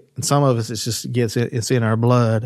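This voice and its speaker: In an Appalachian accent, a man talks at a moderate pace with monotone, flat intonation. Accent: Appalachian Kentucky. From Eastern Kentucky, Floyd County. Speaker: folk artist. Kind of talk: casual interview conversation. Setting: in person, Eastern Kentucky. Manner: halting, frequent repetitions and fillers.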